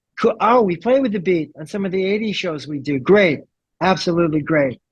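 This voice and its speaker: A high-pitched man with a New York accent, animated tone and lively intonation at a fairly quick pace. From New York (Brooklyn). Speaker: rock bassist. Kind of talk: interview.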